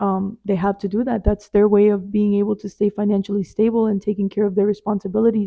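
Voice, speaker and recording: Speaking at a very fast pace, the woman keeps a monotone, flat intonation. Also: medium pitch for a woman. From US, immigrant from a Spanish-speaking country. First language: Spanish. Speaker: podcast host. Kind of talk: casual self-help monologue. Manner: casual, with fillers.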